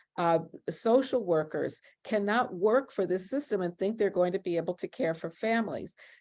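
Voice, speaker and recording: At a moderate pace, a woman speaks in an unremarkable speaking voice of medium pitch with ordinary pitch variation. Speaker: law professor and abolition scholar. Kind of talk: panel discussion. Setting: online video event.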